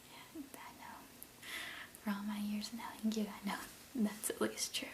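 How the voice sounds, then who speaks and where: Soft-spoken and fairly slow, a man talks in a high pitch with fairly even intonation. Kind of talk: ASMR role play, friendly chat. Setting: close-mic, casual one-on-one conversation.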